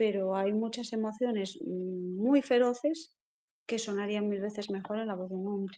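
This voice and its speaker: This woman's tone is dark and mellow. Her pitch is medium, with ordinary pitch variation. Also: moderate pace. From Galicia, Spain (Lugo). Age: 40s. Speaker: poet and writer. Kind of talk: interview.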